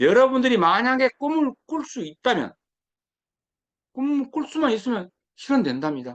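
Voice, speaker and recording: A man speaks with very wide pitch swings. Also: dry, close sound with no echo. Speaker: lecturer. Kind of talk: lecture.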